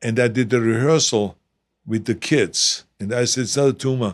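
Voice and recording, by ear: In a very clean recording with a silent background, a man speaks with a non-native accent. His pitch is medium and his intonation fairly even. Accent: noticeable foreign.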